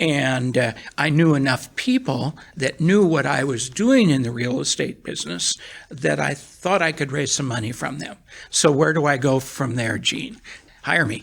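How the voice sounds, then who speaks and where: At a moderate pace, a man speaks with vocal fry. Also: fairly high pitch for a man, ordinary pitch variation. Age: 70s. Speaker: real estate syndication attorney. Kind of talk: interview.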